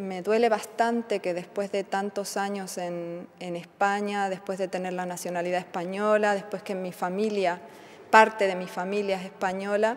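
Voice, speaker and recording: A woman speaks at a moderate pace with a medium pitch. Her intonation is flat and monotone. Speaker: immigrant interviewee. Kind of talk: interview testimony. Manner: halting, with fillers.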